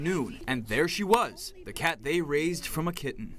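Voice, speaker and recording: A man with an American accent has an unremarkable speaking voice at a fairly high pitch. His intonation is lively and his pace moderate. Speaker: broadcast news anchor and reporter. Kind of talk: TV news package voiceover.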